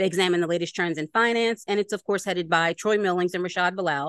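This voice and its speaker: Against a quiet background, a woman with a Philadelphia accent talks at a fairly quick pace and medium pitch, with ordinary pitch variation and a dry, close sound with no echo. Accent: Philadelphia American English. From Philadelphia, US. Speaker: podcast host. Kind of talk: casual interview chat.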